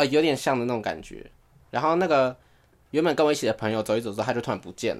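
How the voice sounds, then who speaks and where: Over a silent background in a very clean recording, a man of medium pitch talks at a very fast pace with lively intonation. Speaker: podcast co-host. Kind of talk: casual chat.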